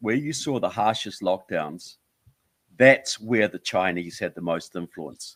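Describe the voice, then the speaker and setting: A fairly slow delivery in a New Zealand accent, with very wide pitch swings and big swings in loudness, on a very clean recording with a silent background. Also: man. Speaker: author and filmmaker. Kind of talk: interview.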